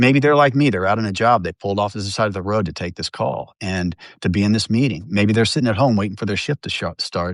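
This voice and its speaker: Over a quiet background, a man talks at a very fast pace and a fairly low pitch, with ordinary pitch variation and hardly any pauses. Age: 60s. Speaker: newspaper journalist and union member. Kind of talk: interview. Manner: halting, many fillers and restarts.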